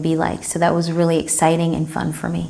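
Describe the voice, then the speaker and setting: Against noticeable background noise, a woman with a fairly low pitch speaks at a fairly quick pace. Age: 30s. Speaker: retreat participant. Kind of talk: testimony.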